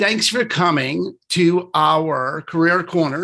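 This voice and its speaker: Over a quiet background, a man with a New York accent talks in a high, bright and sharp voice. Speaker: real estate broker. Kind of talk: casual presentation. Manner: fast.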